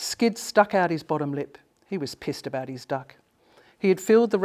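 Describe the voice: Lively intonation in a plain reading aloud.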